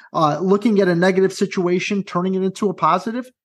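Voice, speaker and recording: An energetic man speaks with a high pitch at a fairly quick pace. Behind him the background is quiet. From US Midwest, southwest side of Chicago. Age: 30s. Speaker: high school guidance counselor and motivational speaker. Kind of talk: interview.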